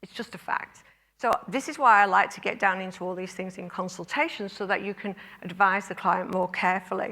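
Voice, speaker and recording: A woman's bright, sharp tone at a fairly quick pace, with ordinary pitch variation. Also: medium pitch for a woman, big swings in loudness. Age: 60s. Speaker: clinic owner and conference speaker. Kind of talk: conference talk.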